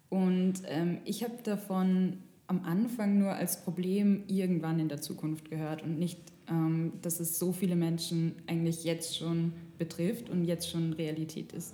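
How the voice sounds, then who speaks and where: In an ordinary speaking voice, a woman talks at a fairly slow pace with fairly low pitch and fairly even intonation. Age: 20s. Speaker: journalism student, podcast co-host. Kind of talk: casual chat. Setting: studio.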